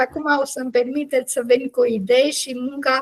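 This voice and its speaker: This woman speaks at a high pitch and a moderate pace, her intonation fairly even. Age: 70s. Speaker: NGO leader. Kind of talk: meeting presentation. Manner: halting, many fillers.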